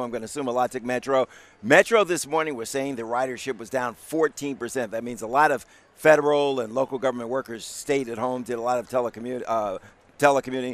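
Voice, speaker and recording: Very fast and excited, a man speaks in a warm tone with ordinary pitch variation and a dry sound with no echo. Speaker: news anchor. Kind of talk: live TV newscast anchoring. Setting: TV studio and live coverage. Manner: excited, warm, conversational. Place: street.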